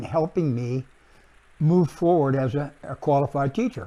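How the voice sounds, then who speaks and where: Pitch rises and falls in an ordinary way. Dark and mellow, the tone carries through. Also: man. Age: 70s. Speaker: artist and art teacher. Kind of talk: casual introductory talk. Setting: home studio. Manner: halting, many fillers.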